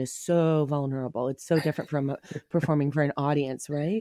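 A woman speaks at a fairly quick pace in a dark, mellow tone. The sound is dry and close, with no echo. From Ontario, Canada (Whitby, Toronto suburb). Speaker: comedian. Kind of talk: casual chat. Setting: video call.

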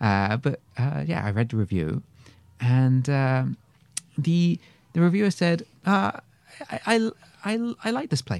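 A man with a British accent talks at a moderate pace, his pitch swinging very widely, in a dry, close recording with no echo. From England. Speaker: actor. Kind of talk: casual interview storytelling.

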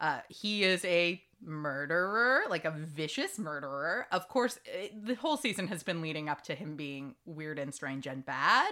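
A woman's fairly low-pitched, bright and sharp voice with lively intonation, a fairly slow pace and hardly any pauses, on a very clean recording with a silent background. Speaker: podcast host. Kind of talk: casual chat.

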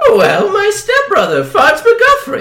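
A put-on character voice speaks at an extremely high pitch and a fairly slow pace. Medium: comedy sketch. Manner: eager, excitable.

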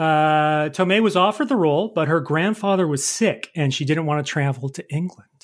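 Very cleanly recorded against a silent background, a man talks in a plain, everyday voice at a fairly high pitch and fairly quick pace, with ordinary pitch variation. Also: hardly any pauses. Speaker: quiz host and producer. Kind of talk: game show style quiz chat.

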